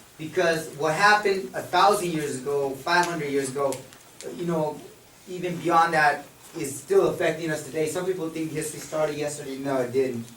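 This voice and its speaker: With audible room echo and noticeable background noise around him, a man talks fairly quickly in a fairly high pitch, his intonation fairly even. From Mexico. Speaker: high school history teacher. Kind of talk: public talk at a forum.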